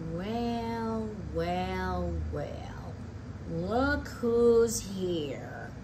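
A put-on character voice over loud background noise. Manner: growling, menacing.

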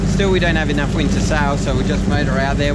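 A man's voice comes through dry, with no echo, while loud noise fills the background. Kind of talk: casual vlog chat. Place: boat. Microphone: phone near.

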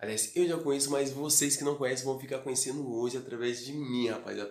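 Audible room echo surrounds a man's voice. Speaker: vlogger. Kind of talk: casual vlog chat. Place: home room. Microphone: phone near.

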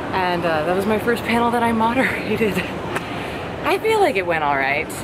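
Loud background noise sits behind a woman who talks at a fairly quick pace. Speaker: vlogger at a convention. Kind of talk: casual vlog chat. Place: hall. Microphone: phone near.

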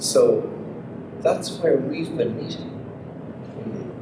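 With noticeable background noise behind him, a man speaks in very wide pitch swings. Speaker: visual and performance artist. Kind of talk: public conversation. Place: hall.

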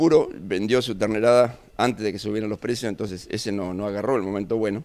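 A man talks at a fairly quick pace. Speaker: president of a rural producers' association. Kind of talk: interview. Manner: halting, with many fillers.

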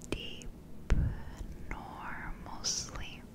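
Over loud background noise, a soft-spoken woman whispers, the sound dry with no echo. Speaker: ASMR creator. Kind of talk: guided hypnosis sleep script. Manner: slow soft hypnotic whisper. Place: home room.

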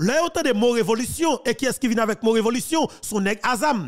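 Extremely high in pitch, a man speaks at a moderate pace with an animated tone and lively intonation. The background is quiet. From Haiti. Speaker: political commentator. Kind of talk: political commentary. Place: home room. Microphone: studio mic.

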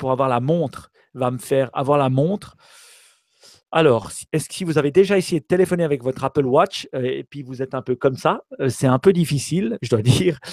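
Recorded very cleanly against a silent background with a dry, close sound and no echo, a man with an ordinary speaking voice and fairly high pitch speaks at a moderate pace with ordinary pitch variation. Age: 40s. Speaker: tech podcast co-host. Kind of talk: casual chat.

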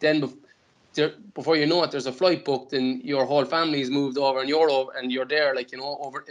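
Speaking at a very fast pace with a Cork accent, a man keeps his intonation flat and monotone. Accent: Cork Irish. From Ireland. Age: 20s. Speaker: professional footballer; guest. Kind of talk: casual interview. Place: home room. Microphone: earbuds.

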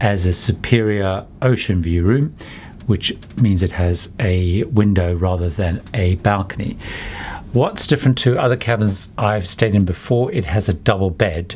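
In a plain, everyday voice, a man speaks at a fairly slow pace with ordinary pitch variation over light background noise. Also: fairly low pitch for a man. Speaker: travel vlogger. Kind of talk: casual tour commentary. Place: home room. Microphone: phone near.

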